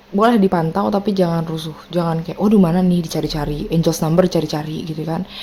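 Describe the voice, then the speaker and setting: Against noticeable background noise, a woman speaks fairly quickly with ordinary pitch variation. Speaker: tarot reader. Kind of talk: tarot reading to viewers. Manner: casual, chatty.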